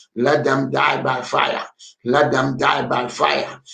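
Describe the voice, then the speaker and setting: Speaking at a very slow pace is a man. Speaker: pastor. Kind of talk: fervent deliverance prayer leading an online congregation. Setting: online prayer meeting with callers tuning in. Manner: urgent, exhorting, calling congregants to pray aloud. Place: home room. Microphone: webcam.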